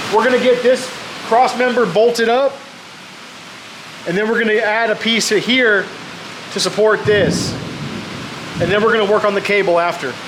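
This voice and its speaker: A loud man with an American accent speaks at a high pitch and moderate pace with fairly even intonation and long, frequent pauses, against noticeable background noise. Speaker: homesteader and DIY fabrication video host. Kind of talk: casual workshop tutorial. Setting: workshop. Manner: loud, raised voice over rain noise.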